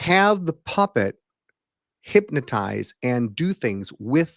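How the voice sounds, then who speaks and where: The speaker is a man. His voice moves in very wide pitch swings. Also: very clean recording, silent background. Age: 60s. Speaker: hypnotist and former puppeteer. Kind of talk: casual chat. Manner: halting.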